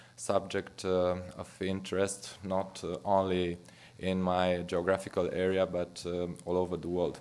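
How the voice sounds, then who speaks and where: With a Romanian accent, a man talks at a very slow pace. His pitch is very deep and low, and the background is quiet. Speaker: physician. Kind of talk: lecture. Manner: halting.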